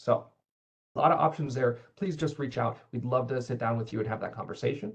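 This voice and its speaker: This man's voice is somewhat breathy, and his pitch moves in an ordinary way. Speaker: cybersecurity manager. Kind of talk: webinar Q&A. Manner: fast.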